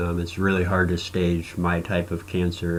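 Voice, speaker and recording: A man's very deep, low voice with a Midwestern US accent. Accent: US Midwest. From Nebraska. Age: 40s. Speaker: cancer patient vlogger. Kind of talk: personal video blog testimony. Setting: recording to camera. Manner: halting with frequent fillers.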